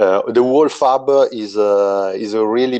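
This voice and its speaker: A man with an Italian accent talks at a fairly low pitch with ordinary pitch variation and a dark, mellow tone. The sound is dry and close, with no echo. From Italy. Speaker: game designer. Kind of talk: interview. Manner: halting.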